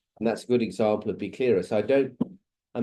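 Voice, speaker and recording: A man with an English accent speaks at a medium pitch, his tone dark and mellow. His pitch varies in an ordinary way over a quiet background. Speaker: ontology researcher giving a guest lecture. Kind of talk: lecture. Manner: fast; halting, many fillers and restarts.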